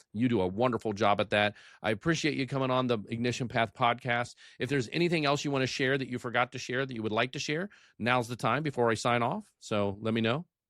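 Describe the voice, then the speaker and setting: With an American accent, a man talks at a very fast pace and medium pitch with ordinary pitch variation, on a very clean recording with a silent background and a dry, close sound with no echo. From United States. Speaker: podcast host and emergency medical services educator. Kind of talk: interview podcast. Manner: halting, with many repeated words and fillers.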